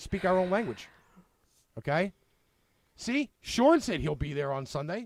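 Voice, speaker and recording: A man with a high pitch and a strong Brooklyn accent talks at a fairly slow pace, his pitch swinging very widely. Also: dry, close sound with no echo. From Brooklyn, New York. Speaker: online show host. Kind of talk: casual chat.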